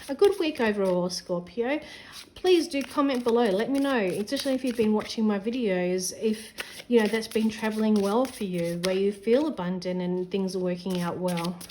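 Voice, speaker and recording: Against noticeable background noise, a woman speaks with a fairly high pitch and lively intonation. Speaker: tarot reader. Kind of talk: tarot reading. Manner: fast.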